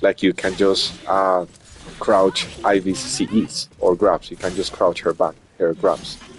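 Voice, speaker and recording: A man with a non-native accent talks at a fairly low pitch with ordinary pitch variation. The sound is dry and close with no echo, though noticeable background noise comes through. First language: not English. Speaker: streamer and tournament commentator. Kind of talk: live game commentary. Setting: live stream.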